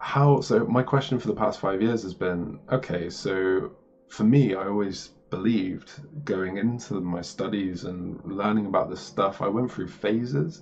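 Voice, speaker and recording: It is a plain, everyday voice with ordinary pitch variation and light background noise. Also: man, fairly low pitch for a man. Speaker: spiritual video creator. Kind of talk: casual explanatory monologue. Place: home room. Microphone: webcam.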